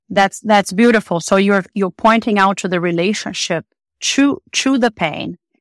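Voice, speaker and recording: A woman speaks with a Portuguese accent at a medium pitch, with ordinary pitch variation and a moderate pace. The recording is very clean and dry, close with no echo and a silent background. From Brazil. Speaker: psychotherapist. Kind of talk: interview.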